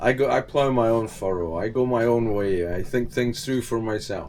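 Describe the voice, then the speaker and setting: The speaker is a man with a Scottish accent. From Scotland. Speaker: vlogger and sailor. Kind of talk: casual vlog monologue. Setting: on a boat.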